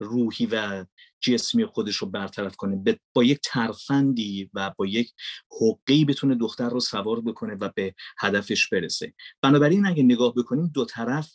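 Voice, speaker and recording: A man speaks at a medium pitch and a moderate pace in a plain, everyday voice with lively intonation. The sound is dry and close, with no echo. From Iran, Mashhad. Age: 40s. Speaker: voice-over artist and filmmaker. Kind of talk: podcast interview. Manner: formal.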